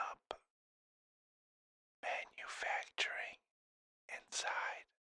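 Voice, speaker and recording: Whispering at a very slow pace, a man is heard. The sound is dry and close with no echo. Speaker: ASMR creator. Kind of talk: ASMR whisper about a topic. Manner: whispered, soft-spoken.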